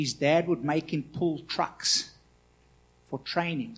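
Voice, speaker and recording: An unremarkable speaking voice talks at a fairly slow pace with fairly even intonation against a quiet background. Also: man. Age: 40s. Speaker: pastor. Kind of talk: sermon. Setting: church.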